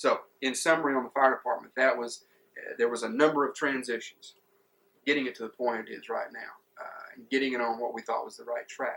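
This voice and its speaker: A man's loudness swings widely as he speaks at a fairly quick pace. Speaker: former city administrator. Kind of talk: interview answer.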